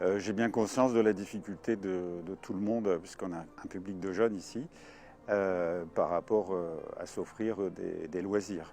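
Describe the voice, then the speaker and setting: A man speaks slowly at a fairly low pitch in a dark, mellow tone. His intonation stays fairly even. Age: 60s. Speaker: gliding club president and flight instructor. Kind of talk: casual interview. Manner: hesitant with frequent fillers.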